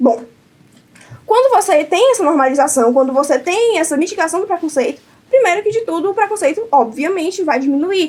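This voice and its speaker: A woman with an extremely high pitch speaks in an animated tone with a northeastern Brazilian accent. Noticeable background noise sits behind her. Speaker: debate competitor. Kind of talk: competitive debate speech. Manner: fast.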